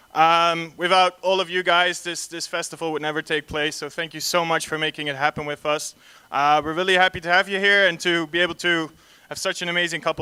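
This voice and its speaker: With a Dutch accent, a bright, sharp tone and fairly even intonation, the speaker moves at a fairly quick pace in a dry, close sound with no echo. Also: man. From Netherlands. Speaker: panel moderator, concept artist. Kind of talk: panel discussion introduction. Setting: stage with audience at festival, PA system. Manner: hesitant, many fillers.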